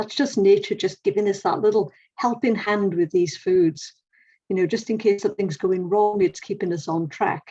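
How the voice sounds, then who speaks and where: In an English accent, a woman speaks at medium pitch and a moderate pace, with ordinary pitch variation and a dark, mellow tone. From England. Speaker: nutritionist. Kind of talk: presentation talk.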